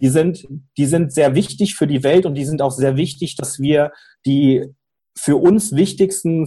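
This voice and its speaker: A man with a fairly high voice and a dark, mellow tone speaks at a fairly slow pace, somewhat breathy, with ordinary pitch variation. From Cologne, Germany. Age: 30s. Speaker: fintech startup founder. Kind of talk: interview. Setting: remote call.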